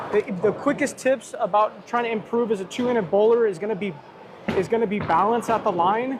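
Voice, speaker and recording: Amid noticeable background noise, a man speaks at a moderate pace in a high pitch, with ordinary pitch variation. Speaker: bowler and live streamer. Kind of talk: live stream chat. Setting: bowling alley. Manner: sometimes whispering quietly.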